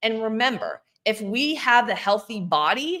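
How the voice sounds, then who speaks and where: Her voice fairly high and her tone bright and sharp, a woman speaks with lively intonation. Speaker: fitness coach. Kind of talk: solo video talk, Q&A. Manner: fast.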